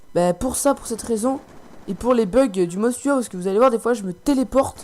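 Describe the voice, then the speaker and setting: A man speaks in a high pitch. Noticeable background noise runs behind him. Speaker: gaming commentator. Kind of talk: gameplay commentary. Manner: soft-spoken; halting.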